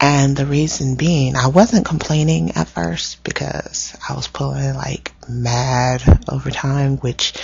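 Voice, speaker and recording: A woman talks at a fairly slow pace while noticeable background noise continues behind her. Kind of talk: casual vlog storytelling. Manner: not very soft-spoken, animated.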